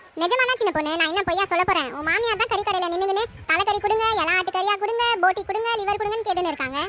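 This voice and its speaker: In a cartoonish character voice, a woman speaks at a very fast pace with an extremely high pitch and ordinary pitch variation, over clear background noise. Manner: chatty, complaining.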